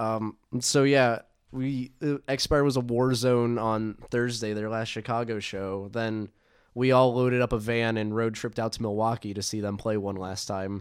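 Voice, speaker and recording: In a very clean recording with a silent background, a man speaks at medium pitch and a moderate pace with fairly even intonation in an unremarkable speaking voice. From Atlanta, US South. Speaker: podcast host, hardcore music fan. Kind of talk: casual chat. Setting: home room with mics.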